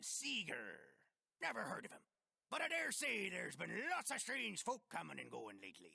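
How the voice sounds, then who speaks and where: Put-on character voice from a man, delivered at a moderate pace. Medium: video game. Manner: folksy, rambling.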